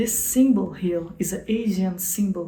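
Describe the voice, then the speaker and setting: A woman speaks very slowly with a Portuguese accent. There is audible room echo. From Brazil. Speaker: software developer and channel host. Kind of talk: channel introduction vlog. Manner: halting, with repetitions and self-corrections.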